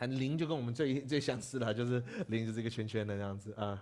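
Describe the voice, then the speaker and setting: Speaking at a fairly quick pace, a man talks at medium pitch. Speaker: Tibetan language teacher, Buddhist monk; Tibetan language teacher. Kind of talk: lecture. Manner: halting. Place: classroom. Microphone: lapel.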